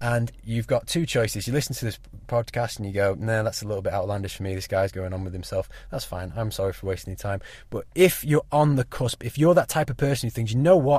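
Talking at a very fast pace with lively intonation, a man with a medium pitch sounds somewhat breathy in a very clean recording with a silent background. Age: 20s. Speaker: podcast host. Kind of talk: solo monologue. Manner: casual, hesitant with fillers.

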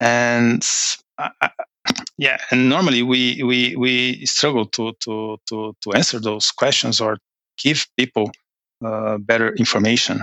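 With a Portuguese accent, a man speaks at medium pitch and a fairly slow pace, his intonation fairly even. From Brazil. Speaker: finance manager. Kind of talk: interview. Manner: halting.

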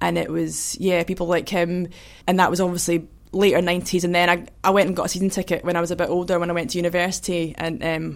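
A woman with a Scottish accent talks at a very fast pace. Her fairly low voice has monotone, flat intonation. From Scotland, Kinross. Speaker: hurdler, athlete. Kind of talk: casual chat.

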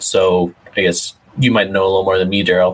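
In a plain, everyday voice, a man speaks at a fairly quick pace with a fairly low pitch and fairly even intonation. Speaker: podcast host and lawn bowler. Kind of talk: casual chat. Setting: live stream.

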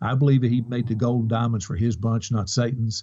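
A man with a Kentucky accent speaks at medium pitch in a dark, mellow, somewhat breathy tone. The background is quiet. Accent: Kentucky Southern US. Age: 50s. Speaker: online reseller. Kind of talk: interview.

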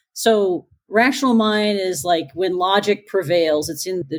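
Speaking at a moderate pace, a woman has a plain, everyday voice. Her pitch is medium, with ordinary variation. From Newfoundland, Canada. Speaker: pathologist and assistant professor. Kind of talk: casual interview.

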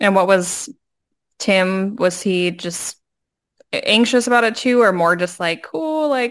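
Speaking at a fairly slow pace with long, frequent pauses, a woman uses a medium pitch and lively intonation on a very clean recording with a silent background. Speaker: podcast co-host. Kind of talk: casual chat.

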